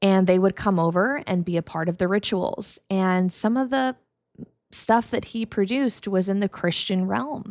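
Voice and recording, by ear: Speech comes at a fairly slow pace with fairly even intonation and a slightly mellow tone. The recording is very clean, with a silent background. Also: woman, medium pitch for a woman.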